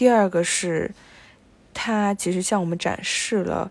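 At a fairly slow pace and with fairly even intonation, a woman speaks in an unremarkable speaking voice. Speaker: podcast co-host. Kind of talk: casual film discussion.

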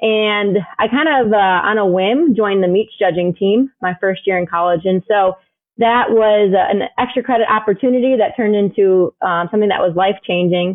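A woman with an American accent and an ordinary speaking voice at medium pitch, with ordinary pitch variation, very even loudness and a moderate pace. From US Midwest, Chicago suburbs. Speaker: swine veterinarian. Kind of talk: interview.

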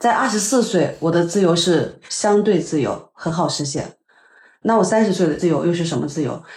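Somewhat breathy and fairly low-pitched, a woman speaks at a moderate pace with audible room echo. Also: ordinary pitch variation. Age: 30s. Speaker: podcast host, advertising worker. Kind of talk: casual chat.

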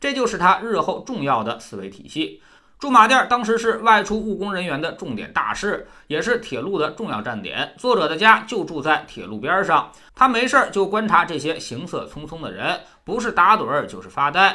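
A man's high-pitched, bright and sharp voice, raised and projected, with very wide pitch swings. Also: moderate pace, big swings in loudness. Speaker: book review podcast host. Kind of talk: scripted narration.

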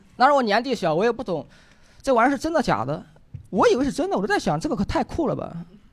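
Speaking very fast at an extremely high pitch, a man swings very widely in pitch over a very clean recording with a silent background. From Henan. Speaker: stand-up comedian. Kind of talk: stand-up.

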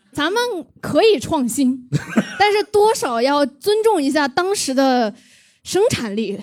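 Very slow pacing with long, frequent pauses. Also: woman, high pitch for a woman. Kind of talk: casual chat.

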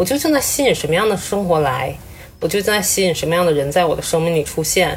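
A woman talks at a very fast pace. Her pitch is fairly low, and her intonation is lively. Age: 30s. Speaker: breast cancer survivor. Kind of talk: casual chat. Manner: crying.

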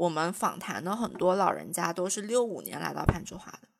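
A woman talks at a moderate pace. Her voice carries vocal fry. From China, Jiangxi. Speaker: podcast co-host, graduate student researcher. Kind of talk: casual chat.

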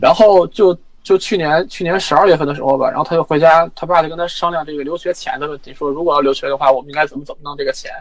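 Talking at a very fast pace with hardly any pauses, a man uses a fairly high pitch and ordinary pitch variation. His loudness swings widely over noticeable background noise. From Inner Mongolia, China. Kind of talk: personal story in consultation. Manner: halting.

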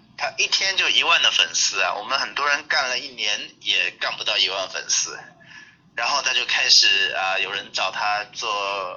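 Speaking at a fairly slow pace, a man comes through. There is noticeable background noise behind him. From China, Jiangxi (Ganzhou). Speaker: new media lecturer. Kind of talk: online group lecture. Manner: hesitant with many fillers.

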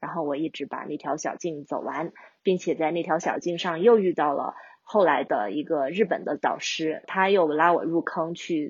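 A woman speaks in a plain, everyday voice, fairly low-pitched, at a moderate pace with ordinary pitch variation. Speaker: long-distance hiker. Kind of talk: interview conversation.

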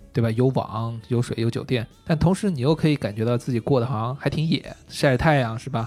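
An unremarkable speaking voice at a fairly quick pace, with hardly any pauses and ordinary pitch variation. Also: man, medium pitch for a man. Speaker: outdoor brand marketing staff. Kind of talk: casual interview.

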